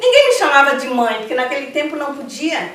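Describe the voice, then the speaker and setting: A woman talks at a high pitch and moderate pace with ordinary pitch variation. Audible room echo and noticeable background noise come through. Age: 60s. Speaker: Afro-Brazilian religious priestess. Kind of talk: interview. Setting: at her temple.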